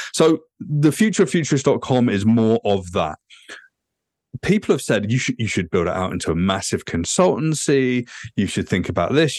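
A man with a British accent talks at a moderate pace with very wide pitch swings. The sound is dry and close with no echo, over a quiet background. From England. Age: 40s. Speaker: futurist and author. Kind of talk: podcast interview.

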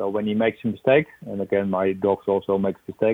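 With a Dutch accent, a man speaks at a fairly quick pace. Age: 60s. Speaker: police dog trainer. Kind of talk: interview. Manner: halting.

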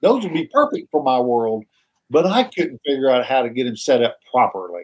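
Speaking at a moderate pace with an American accent, a man uses a medium pitch with very wide pitch swings. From Oklahoma. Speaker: podcast host, archer. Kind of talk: casual chat.

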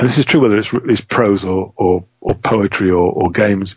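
A man with an ordinary speaking voice at a moderate pace, with ordinary pitch variation. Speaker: game designer and rules editor. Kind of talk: podcast interview.

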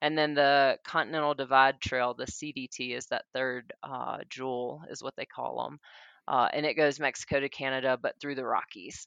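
This speaker has a Southern US accent and a monotone, flat intonation. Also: woman, very deep, low pitch for a woman, moderate pace. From US South, Mississippi. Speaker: long-distance hiker. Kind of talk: interview. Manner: hesitant, many fillers (um, uh).

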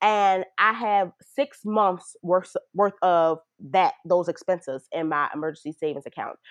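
In a normal speaking voice, a woman with an American accent talks at a medium pitch and a fairly slow pace with ordinary pitch variation. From Baltimore, Maryland. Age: 20s. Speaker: PhD student. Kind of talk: casual interview.

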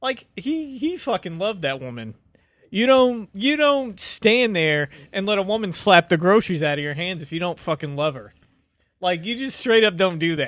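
A man talks in a high voice with very wide pitch swings. The background is quiet. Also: moderate pace. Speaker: film fan guest. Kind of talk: casual banter discussing a film.

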